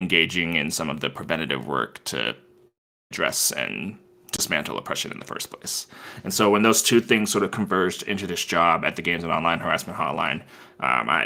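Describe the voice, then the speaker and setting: Lively in intonation and fairly quick in pace, a man speaks at a very deep, low pitch with vocal fry and a bright, sharp tone. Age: 30s. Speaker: hotline coordinator. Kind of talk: podcast interview. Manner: casual, hesitant with fillers.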